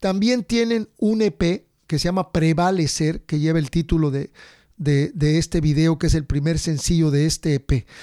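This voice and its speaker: Dark and mellow in tone, a man's fairly high voice moves at a moderate pace with ordinary pitch variation, dry and close with no echo in a very clean recording against a silent background. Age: middle-aged. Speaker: podcast host and musician. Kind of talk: casual chat; show intro and announcements.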